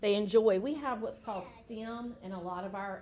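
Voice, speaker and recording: At a moderate pace and with fairly even intonation, this is a normal speaking voice. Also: woman. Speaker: educator. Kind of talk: informational presentation.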